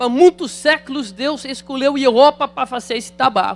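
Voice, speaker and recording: A man's extremely high-pitched voice, moderate in pace with ordinary pitch variation, in a dry, close sound with no echo. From Netherlands. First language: Dutch (speaking Portuguese). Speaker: pastor. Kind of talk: sermon. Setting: church.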